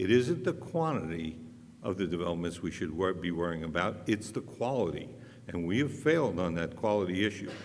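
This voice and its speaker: A man's very deep, low voice at a fairly quick pace, ordinary pitch variation, audible room echo. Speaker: city council candidate. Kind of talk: candidate debate. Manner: loud; plain-spoken, outspoken.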